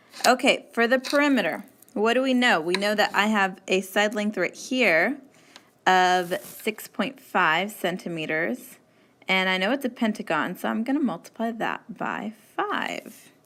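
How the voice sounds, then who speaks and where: The tone is bright and sharp, moving at a fairly slow pace with ordinary pitch variation. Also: woman, fairly high pitch for a woman. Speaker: math teacher. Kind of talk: tutorial.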